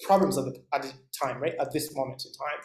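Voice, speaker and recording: Moving at a fairly quick pace, the man speaks with ordinary pitch variation. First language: not English. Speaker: instructor. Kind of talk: lecture. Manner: halting, many fillers.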